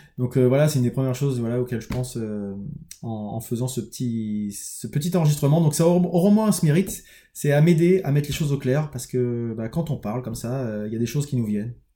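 A man talks at a very fast pace in a dark, mellow tone, his pitch medium. His intonation is lively and his voice somewhat breathy. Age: 30s. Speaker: construction employee turning entrepreneur, vlogger. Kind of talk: personal video diary monologue. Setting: home office, recording alone on camera. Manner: halting, many hesitations and repetitions.

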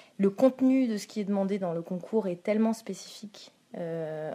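The woman's voice has a dark, mellow tone. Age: 20s. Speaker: school counsellor (CPE). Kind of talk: interview. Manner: halting, with fillers.

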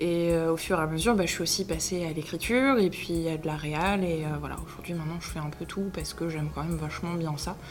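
Over noticeable background noise and audible room echo, a woman with a fairly low pitch talks at a very fast pace with hardly any pauses and ordinary pitch variation. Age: 20s. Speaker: online video creator and actor. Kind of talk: interview. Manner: hesitant, many filler words.

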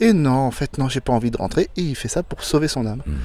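Speaking at a fairly quick pace, a man has an ordinary speaking voice, medium in pitch, with ordinary pitch variation. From France, Loire Valley (Blois). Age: 50s. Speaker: solo sailor. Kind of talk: interview. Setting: outdoors on a boat in port.

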